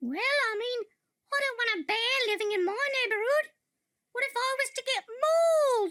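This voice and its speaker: In a put-on character voice, a woman squeaks at an extremely high pitch and a moderate pace. She leaves long, frequent pauses. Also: lively intonation. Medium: comedy sketch.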